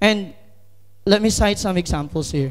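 A man talks at a fairly slow pace. He has a Filipino accent. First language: Tagalog. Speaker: lay preacher. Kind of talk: sermon. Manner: halting.

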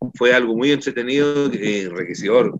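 An unremarkable speaking voice from a man, medium in pitch with ordinary pitch variation, at a moderate pace, dry with no echo, against a quiet background. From Copiapó, northern Chile; Chile. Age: 60s. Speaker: musician and council candidate; council candidate. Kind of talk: political candidate interview. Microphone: video call.

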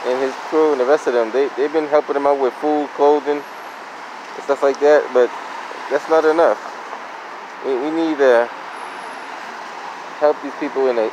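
A man speaks with long, frequent pauses and fairly even intonation, the sound dry with no echo and noticeable background noise behind him. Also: moderate pace. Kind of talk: casual vlog commentary. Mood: concerned, earnest. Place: street. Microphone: phone near.

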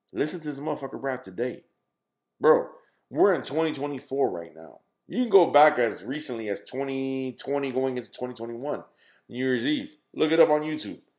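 With a medium pitch, a man talks at a moderate pace with lively intonation and big swings in loudness. The background is quiet. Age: 30s. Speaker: gaming YouTuber. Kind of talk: casual monologue to camera. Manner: halting, many fillers and repetitions. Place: home room. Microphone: webcam.

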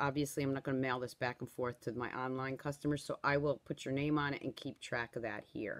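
Against a quiet background, a woman talks at a fairly quick pace. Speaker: craft product seller. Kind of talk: casual live-stream chat. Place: home room. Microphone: phone near.

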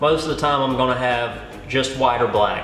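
A man speaks at a moderate pace with fairly even intonation. Faint music plays behind him, and the room echo is audible. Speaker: fishing guide. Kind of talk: tutorial. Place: studio.

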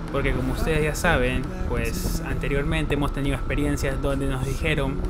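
A man's voice competes with loud background music. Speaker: travel vlogger. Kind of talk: casual vlog chat. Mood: wry, mildly frustrated. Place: motorbike. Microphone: phone near.

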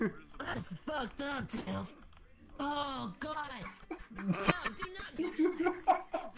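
A high, put-on character voice crawls along at a very slow pace with long, frequent pauses. Loud background noise runs underneath. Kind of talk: comic overacting. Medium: game stream. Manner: frantic, panicky, cocky catchphrase "way past".

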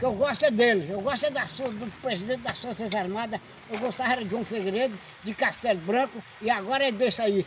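Over noticeable background noise, a man talks at an extremely high pitch and a fairly quick pace with ordinary pitch variation. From Brazil. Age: 90s. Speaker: elderly lot cleaner. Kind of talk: street interview. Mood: firm, proud, opinionated. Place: open country. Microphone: phone near.

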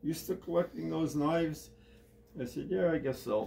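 Light background noise sits behind the speaker. He is a man talking at a moderate pace. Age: 80s. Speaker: retired army sergeant major and collector. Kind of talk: personal storytelling in an interview. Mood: relaxed, reminiscing. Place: home room. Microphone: phone near.

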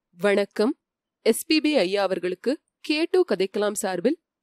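A woman's plain, everyday voice, fairly high in pitch, with lively intonation and a dry, close sound with no echo. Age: 30s. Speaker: audiobook channel narrator. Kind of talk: spoken tribute monologue.

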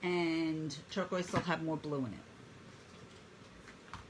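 A woman speaks at a fairly low pitch. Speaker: painting instructor. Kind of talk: live online painting tutorial. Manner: talkative, friendly; warm, encouraging.

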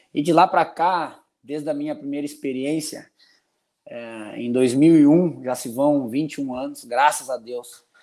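Against a quiet background, a man with a dark, mellow tone and fairly high pitch speaks at a fairly slow pace with fairly even intonation. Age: 40s. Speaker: football assistant coach. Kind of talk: casual interview. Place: home room.

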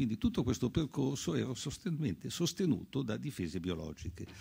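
Over a quiet background, a dark, mellow voice with vocal fry moves at a fairly quick pace through very wide pitch swings. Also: man. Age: 80s+. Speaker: physician and author; doctor on a panel. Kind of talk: panel talk. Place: hall. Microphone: podium.

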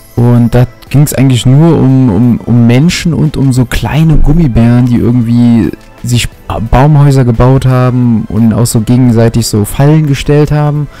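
A man at a moderate pace, with fairly even intonation and very even loudness, music in the background. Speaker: gaming commentator. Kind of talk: commentary.

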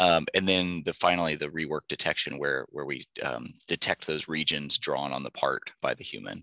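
In a dry, close recording with no echo, a man with a very deep, low pitch and a bright, sharp tone uses vocal fry and fairly even intonation at a moderate pace. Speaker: aerospace engineer presenting a robotics project. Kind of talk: conference presentation. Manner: halting, many filler words.

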